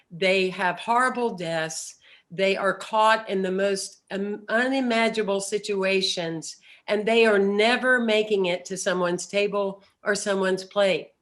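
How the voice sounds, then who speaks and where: An ordinary speaking voice at a fairly slow pace, with fairly even intonation. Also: woman, medium pitch for a woman. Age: 60s. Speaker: spiritual speaker. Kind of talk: recorded message.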